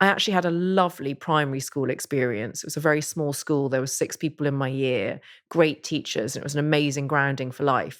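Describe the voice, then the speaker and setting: A woman's very deep, low voice with an English accent at a very fast pace, on a very clean recording with a silent background. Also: ordinary pitch variation. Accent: English accent, stood out in Northern Ireland. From Northern Ireland, moved from Surrey at four. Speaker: author and podcaster. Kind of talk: interview conversation.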